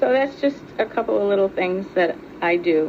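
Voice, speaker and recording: Against noticeable background noise, a woman talks at a fairly slow pace and a medium pitch. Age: 60s. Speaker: nun and fundraiser. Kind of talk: family video message. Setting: family reunion, home video.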